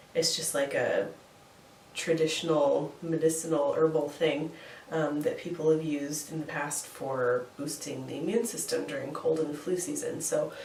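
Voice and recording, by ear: A woman speaks at a moderate pace in a low, slightly mellow voice with fairly even intonation and audible room echo.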